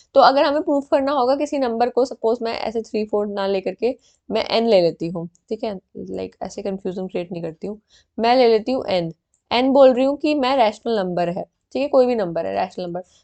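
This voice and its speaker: A woman's fairly high, dark and mellow voice with lively intonation at a moderate pace, dry and close with no echo, over a quiet background. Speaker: online exam-prep teacher. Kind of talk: tutorial. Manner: halting, frequent fillers.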